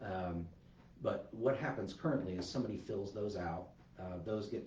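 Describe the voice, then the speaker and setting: Speaking at a fairly quick pace, a soft-spoken man has a very deep, low voice. Noticeable background noise and audible room echo fill the recording. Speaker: park manager. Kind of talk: livestreamed staff update. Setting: livestream. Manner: hesitant, many fillers.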